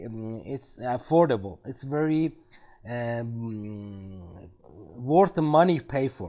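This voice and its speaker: A dark, mellow tone from a man with a non-native accent, on a very clean recording with a silent background. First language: not English. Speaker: tech video creator. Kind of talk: product review tutorial. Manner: halting, many fillers.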